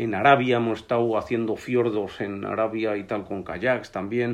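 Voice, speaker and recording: A man with an ordinary speaking voice, medium pitch, fairly even intonation and a fairly slow pace. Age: 60s. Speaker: biologist and hunting and fishing journalist. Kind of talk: casual chat.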